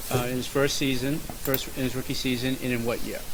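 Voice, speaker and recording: Over noticeable background noise, the man talks at a fairly quick pace. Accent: Boston. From Boston. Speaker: podcast host. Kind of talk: casual chat.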